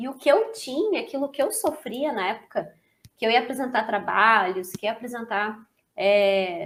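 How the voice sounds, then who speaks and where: The voice has an energetic tone and lively intonation. It moves at a moderate pace. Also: woman, fairly high pitch for a woman. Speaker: therapist and course instructor. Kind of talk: lecture. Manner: talkative, energetic.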